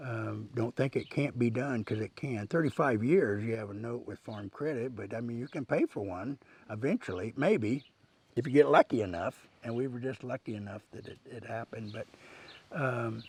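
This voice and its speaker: Somewhat breathy and with a Midwestern US accent, the voice moves at a moderate pace with ordinary pitch variation and big swings in loudness, in a dry, close sound with no echo. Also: man, medium pitch for a man. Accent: rural Midwestern US. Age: 60s. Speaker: rancher. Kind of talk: interview monologue. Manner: casual, with frequent fillers.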